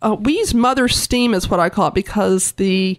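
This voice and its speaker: With a normal speaking voice and ordinary pitch variation, a woman talks at a fairly high pitch in a very clean recording, silent background, dry and close with no echo. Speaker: museum director. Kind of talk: casual interview.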